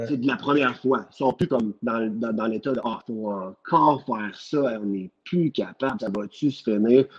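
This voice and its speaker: Here a man speaks with a Quebec accent. His pace is fairly slow. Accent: Québécois French. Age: 30s. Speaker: nurse. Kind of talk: casual chat.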